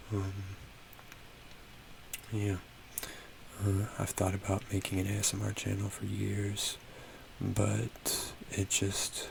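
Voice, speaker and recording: A soft-spoken man talks at a very slow pace with long, frequent pauses over noticeable background noise. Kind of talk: ASMR soft-spoken rambling.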